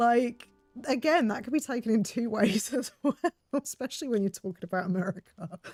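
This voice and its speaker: A woman with a slight English accent speaks at a moderate pace and a fairly high pitch. Her intonation is lively, and the sound is dry and close with no echo. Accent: slightly posh English. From southeast England. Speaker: game streamer. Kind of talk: casual chat. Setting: live stream. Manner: hesitant, many fillers.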